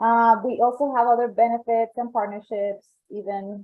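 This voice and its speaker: At a fairly slow pace, a woman speaks with a Colombian accent and fairly even intonation. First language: Spanish. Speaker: membership coordinator. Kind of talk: presentation. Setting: online event.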